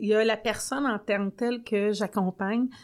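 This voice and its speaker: Recorded very cleanly with a silent background, a woman with a plain, everyday voice speaks at a fairly high pitch with fairly even intonation. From Quebec, Sorel-Tracy region. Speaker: regional development agent. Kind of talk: casual chat. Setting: studio.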